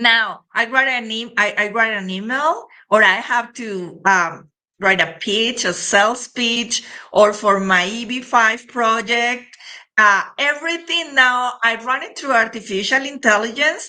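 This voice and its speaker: A woman speaks at a fairly slow pace in a bright, sharp tone, her fairly high pitch moving with ordinary variation, with a non-native accent. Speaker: podcast host. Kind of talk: interview. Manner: animated.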